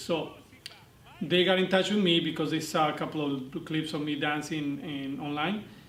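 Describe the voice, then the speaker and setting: A man with a fairly high voice speaks at a fairly quick clip and in a fairly even tone, with audible room echo and noticeable background noise. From Argentina. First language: Spanish. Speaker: dance instructor. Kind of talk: interview monologue. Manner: hesitant, many fillers.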